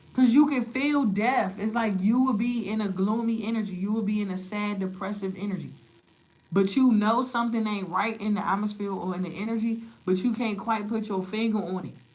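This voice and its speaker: Amid audible room echo and noticeable background noise, a woman with a fairly high pitch speaks at a fairly quick pace. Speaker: tarot reader. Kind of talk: tarot reading livestream. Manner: loud; animated.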